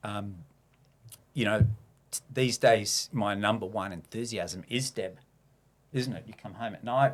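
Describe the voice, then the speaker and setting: With an Australian accent, a man speaks at a fairly slow pace, leaving long, frequent pauses, his loudness swinging widely and his pitch varying in an ordinary way. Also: medium pitch for a man. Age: 60s. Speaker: reformed abuser sharing his story. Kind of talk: podcast interview, personal testimony. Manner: hesitant, many fillers.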